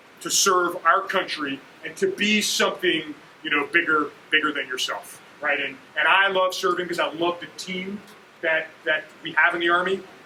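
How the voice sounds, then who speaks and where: Over noticeable background noise, a man with an American accent and high pitch talks at a moderate pace. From New Jersey, Kearny. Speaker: army general. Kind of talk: motivational talk.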